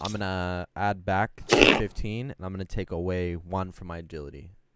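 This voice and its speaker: A man with a very deep, low pitch and a bright, sharp tone speaks at a moderate pace, his intonation fairly even but his loudness swinging widely. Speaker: tabletop game player. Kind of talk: casual chat.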